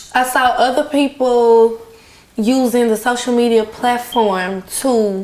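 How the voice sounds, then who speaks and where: A woman with a high pitch and ordinary pitch variation talks over noticeable background noise. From Louisiana, Baton Rouge. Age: 20s. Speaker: singer. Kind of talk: casual chat. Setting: eating a meal on camera.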